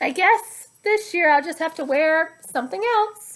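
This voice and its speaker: In a squeaky, put-on character voice, a woman speaks at an extremely high pitch with lively intonation and a moderate pace. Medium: read story.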